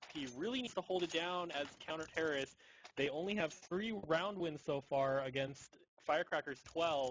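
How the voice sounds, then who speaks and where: A man speaks in a plain, everyday voice. His pitch is fairly high, with ordinary variation. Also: moderate pace. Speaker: esports shoutcaster. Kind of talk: live game commentary.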